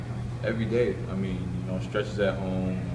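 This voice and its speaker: Loud background noise behind a man's voice. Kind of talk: interview answer. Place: hall. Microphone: handheld.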